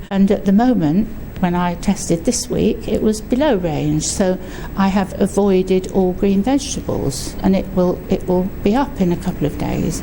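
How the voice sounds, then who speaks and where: A woman with a southern English accent talks at a moderate pace and medium pitch with ordinary pitch variation, over noticeable background noise. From southern England, Surrey. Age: 70s. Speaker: patient advocate. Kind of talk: interview testimony. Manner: hesitant, with fillers.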